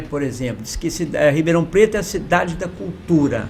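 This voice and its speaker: With lively intonation, a man talks in a space with audible room echo. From Minas Gerais, Brazil (Ituiutaba). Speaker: podcast host and artist. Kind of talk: interview.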